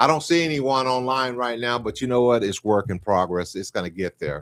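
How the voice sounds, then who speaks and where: A man with an ordinary speaking voice talks at medium pitch and a moderate pace, his intonation lively, in a dry, close sound with no echo. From West Texas. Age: 60s. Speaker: podcast host. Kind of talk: casual chat. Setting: live video stream.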